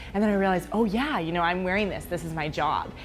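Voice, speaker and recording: A woman's voice with ordinary pitch variation over background music. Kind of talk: interview answer.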